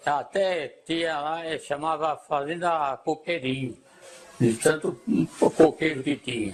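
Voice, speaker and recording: The speaker goes at a very slow pace. Pitch varies in an ordinary way. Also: man, fairly high pitch for a man. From Brazil, rural São Paulo interior (Bocaina). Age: 80s+. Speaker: elderly local resident interviewed about the past. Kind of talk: oral history interview. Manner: halting, many hesitations.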